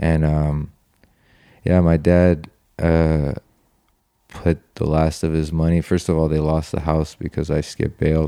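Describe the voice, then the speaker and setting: A man with an American accent speaks in a very deep, low pitch with monotone, flat intonation. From United States. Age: 30s. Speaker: guest. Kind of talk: casual chat. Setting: indoors at a friend's home.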